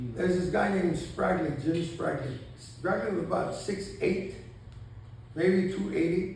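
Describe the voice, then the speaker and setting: Audible room echo surrounds a man with a high pitch. He speaks at a fairly slow pace with ordinary pitch variation. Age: 70s. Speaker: veteran basketball referee. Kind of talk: presentation to referees' meeting. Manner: casual, conversational storytelling.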